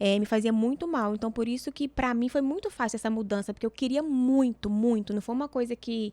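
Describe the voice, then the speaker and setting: Pitched fairly high with a dark, mellow tone, a woman talks at a fairly quick pace with ordinary pitch variation in a very clean recording with a silent background, the sound dry and close with no echo. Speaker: image consultant. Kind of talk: podcast conversation.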